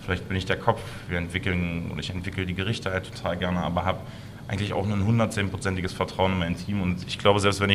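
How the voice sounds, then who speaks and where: A man's very deep, low voice in a monotone, flat delivery at a very fast pace, with audible room echo and noticeable background noise. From Saxony-Anhalt, Harz region (Blankenburg). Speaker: chef and restaurant owner. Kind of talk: interview.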